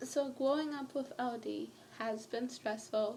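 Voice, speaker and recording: A woman talks, her pitch shifting in an ordinary way. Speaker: vlogger. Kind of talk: personal vlog. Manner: rambling, jumping between topics.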